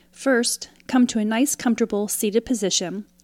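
A woman speaks at a fairly high pitch with ordinary pitch variation, in an ordinary speaking voice. The recording is very clean, with a silent background. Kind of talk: guided meditation. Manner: calm, slow, soothing, with pauses between prompts; gently instructive, inviting.

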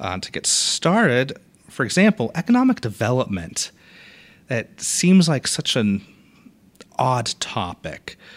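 At a fairly slow pace with long, frequent pauses, a man with an American accent and a medium pitch speaks with very wide pitch swings. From Boston, Massachusetts. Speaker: library circulation head. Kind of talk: casual interview. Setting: podcast studio.

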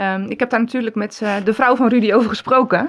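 A woman with a normal speaking voice and a fairly high pitch talks at a moderate pace with ordinary pitch variation, recorded very cleanly against a silent background. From Netherlands, Gouda. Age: 40s. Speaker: pharmacy assistant. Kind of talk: interview.

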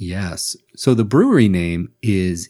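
This man's voice has a dark, mellow tone and lively intonation. The recording is very clean, with a silent background. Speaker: sake educator, podcast host. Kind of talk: casual chat.

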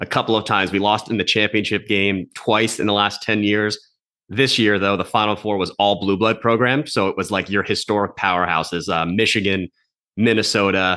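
A man's fairly low, bright and sharp voice with an American accent, fairly quick in pace, with fairly even intonation, very even loudness and a quiet background. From North Jersey, US. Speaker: podcast host. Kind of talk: casual interview.

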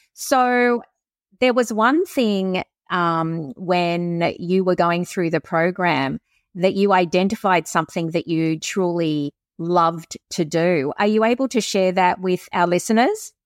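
Spoken with an Australian accent at a fairly slow pace, the voice has ordinary pitch variation and very even loudness, in a very clean recording with a silent background and a dry, close sound with no echo. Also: woman, medium pitch for a woman. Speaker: podcast host. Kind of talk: interview, warm conversational. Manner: warm, welcoming.

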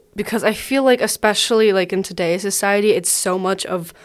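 A woman's normal speaking voice, medium in pitch with ordinary pitch variation, in a very clean recording with a silent background. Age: 20s. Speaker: podcast host. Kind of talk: casual chat.

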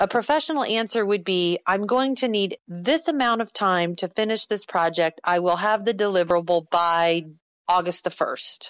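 A woman speaks at a moderate pace in a medium-pitched voice. Her intonation is lively and her loudness very even. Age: 40s. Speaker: author and business speaker. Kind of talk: interview.

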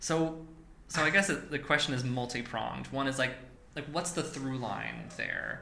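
Noticeable background noise sits under a man speaking at a fairly slow pace with a fairly high pitch and ordinary pitch variation. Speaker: podcast host and theater producer. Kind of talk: casual interview chat. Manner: animated, playful.

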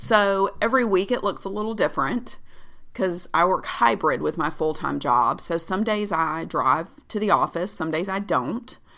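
In a very clean recording with a silent background, a woman of medium pitch speaks at a moderate pace with a bright, sharp tone, vocal fry and lively intonation. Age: 40s. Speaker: health coach and podcast host. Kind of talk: solo podcast monologue. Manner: casual, upbeat.

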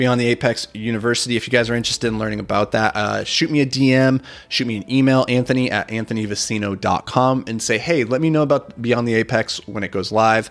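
A man's medium-pitched voice at a very fast pace, fairly even in intonation, with hardly any pauses. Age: 30s. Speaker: podcast host and real estate investor. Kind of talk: casual solo podcast monologue. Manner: casual, repeats words often.

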